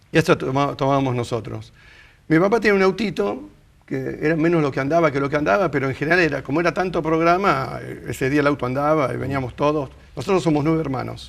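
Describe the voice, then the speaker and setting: Speaking very fast in a Rioplatense accent, a man with a fairly high voice shows ordinary pitch variation. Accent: Argentine Rioplatense Spanish. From Argentina, Rosario. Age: 60s. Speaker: interviewee sharing life story. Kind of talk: interview, casual conversation.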